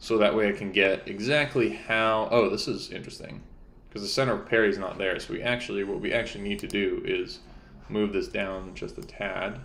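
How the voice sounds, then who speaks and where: A man talks at a fairly quick pace in a room with audible echo. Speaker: game developer streamer. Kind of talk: live-stream tutorial. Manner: casual, thinking aloud.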